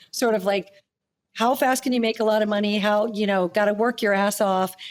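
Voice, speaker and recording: A woman's fairly high pitch shifts in an ordinary way as she talks in a normal speaking voice. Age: 60s. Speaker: holistic nutritionist. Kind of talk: interview conversation. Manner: casual, conversational.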